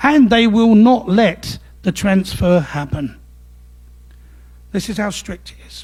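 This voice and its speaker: In an East End London accent, a man speaks with a high pitch. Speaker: legal services manager giving a talk. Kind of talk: presentation to a club audience.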